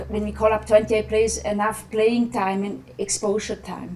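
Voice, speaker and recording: Noticeable background noise surrounds a woman speaking at fairly high pitch. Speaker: national women's football team coach. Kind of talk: press conference. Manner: halting, many fillers.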